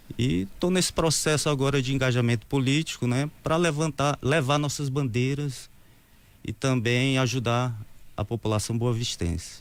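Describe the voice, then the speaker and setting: In a very clean recording with a silent background, a man speaks with a plain, everyday voice at a moderate pace. His pitch is medium, with ordinary pitch variation and very even loudness. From Brazil, Ceará (Crateús). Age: 50s. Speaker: mayoral candidate. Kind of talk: interview.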